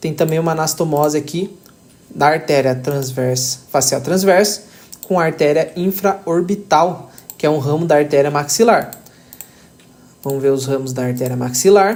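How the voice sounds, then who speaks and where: A man talks at a moderate pace with a fairly high pitch and ordinary pitch variation. He leaves long, frequent pauses. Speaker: anatomy tutor. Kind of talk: tutorial.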